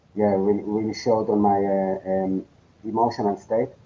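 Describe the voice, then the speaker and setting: A man's fairly low, monotone voice with flat intonation at a moderate pace. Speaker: podcast guest sharing life story. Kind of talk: interview testimony. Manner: halting, many fillers and repetitions.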